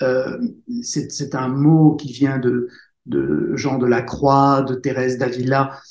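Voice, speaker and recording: With intonation that is monotone and flat, a man talks at a medium pitch. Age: 60s. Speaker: author and speaker. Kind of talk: interview testimony. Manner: halting.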